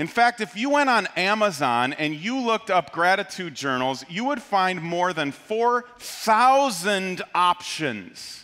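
A man's raised, projected voice at a very slow pace. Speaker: pastor. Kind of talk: sermon. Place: church. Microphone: headset.

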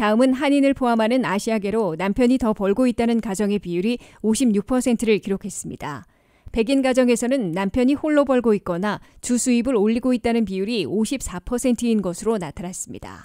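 In a plain, everyday voice, a woman speaks at a fairly high pitch and moderate pace, the recording very clean with a silent background and a dry, close sound with no echo. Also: ordinary pitch variation. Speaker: news anchor. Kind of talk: news reading. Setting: studio. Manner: formal.

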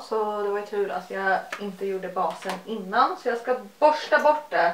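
A woman speaks with ordinary pitch variation, with audible room echo and light background noise. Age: 20s. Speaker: beauty YouTuber. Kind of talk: casual chat. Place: home room. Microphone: phone near.

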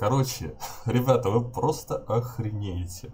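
A man's somewhat breathy voice, dark and mellow in tone, with ordinary pitch variation and light background noise. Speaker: gaming streamer. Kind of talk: casual gaming vlog chat. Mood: amused, exasperated. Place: home room. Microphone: headset.

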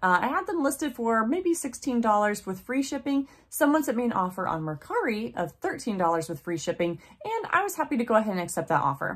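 A woman speaking at a very fast pace with very wide pitch swings. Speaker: online reseller. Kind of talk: casual vlog chat. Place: home room.

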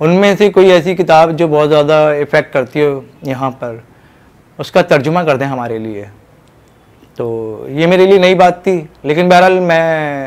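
At a fairly slow pace and fairly high pitch, a man speaks with ordinary pitch variation and long, frequent pauses. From Pakistan. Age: 40s. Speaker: author and translator. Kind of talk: interview monologue; interview answer. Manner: halting. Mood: calm, reflective. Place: home room. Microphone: lapel.

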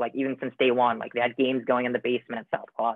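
Over a quiet background, a man with an American accent speaks at a medium pitch in a flat monotone, the sound dry with no echo. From Michigan, US (Troy); Michigan. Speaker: college student. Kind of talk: casual Q&A panel. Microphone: video call.

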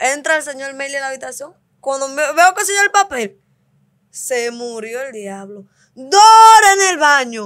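A woman reads at a fairly slow pace in a high pitch. Her pitch swings very widely over a quiet background. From Dominican Republic, Cibao countryside; Dominican Republic. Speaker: host's wife; podcast guest. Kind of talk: casual chat with her husband. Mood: playful, laughing storytelling. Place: studio. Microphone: studio mic.

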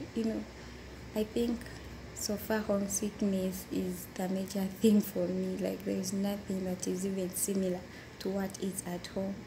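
Someone speaks at a moderate pace over noticeable background noise. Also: woman. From Uganda. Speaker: domestic worker. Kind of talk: interview. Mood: calm, sometimes smiling. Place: home room. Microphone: phone near.

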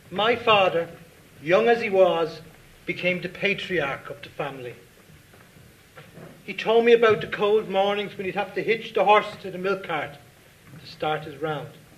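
A man with an Irish accent and a high pitch, at a moderate pace, with ordinary pitch variation, long and frequent pauses, and big swings in loudness. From Dublin, Ireland. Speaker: writer. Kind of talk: reading of own short story at live event. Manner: reflective, measured. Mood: earnest, reflective, solemn. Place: stage.

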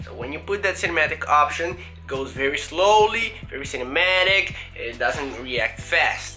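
Faint music sits in the background as a man talks at a moderate speed. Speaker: fitness vlogger. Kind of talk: casual vlog chat. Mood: rueful, animated storytelling. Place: home room. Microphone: phone near.

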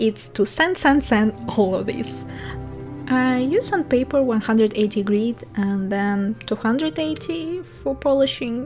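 A woman talks very slowly in a Russian accent. Music plays in the background. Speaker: illustrator and 2d animator. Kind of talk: tutorial voice-over.

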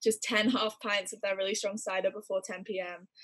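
Against a quiet background, a woman with an American accent talks at a moderate pace with fairly even intonation. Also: dry sound with no echo. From California. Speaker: university student. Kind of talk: interview answer. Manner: casual, chatty. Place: home room. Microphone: video call.

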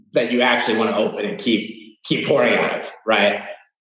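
A man speaks with an American accent at a fairly quick pace. There is audible room echo. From Los Angeles, California. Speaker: spirits brand founder. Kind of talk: casual interview.

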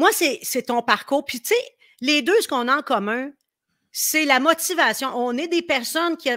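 With a Quebec accent, the speaker uses a raised, projected voice with a bright, sharp, animated tone and lively intonation. The pace is fairly slow, and the background is quiet. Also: woman. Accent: Québécois French. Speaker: live stream host. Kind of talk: casual chat. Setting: live video stream. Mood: warm, enthusiastic. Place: home room. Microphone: webcam.

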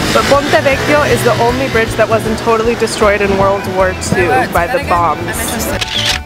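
Loud music plays in the background, and the sound is dry with no echo. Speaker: travel vlogger. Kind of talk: casual vlog chat. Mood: playful, laughing. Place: street. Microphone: phone near.

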